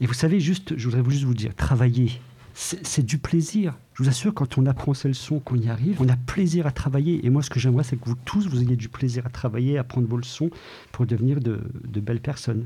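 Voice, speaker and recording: Somewhat breathy and dark, mellow in tone, a man speaks at a fairly quick pace with ordinary pitch variation. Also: medium pitch for a man. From Ardennes, France. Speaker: deputy school principal. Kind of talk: interview.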